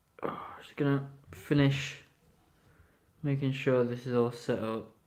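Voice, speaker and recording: In a room with audible echo, a man with a medium pitch speaks fairly slowly and with fairly even intonation. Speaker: toy reviewer live streamer. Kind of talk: live stream review. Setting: live stream.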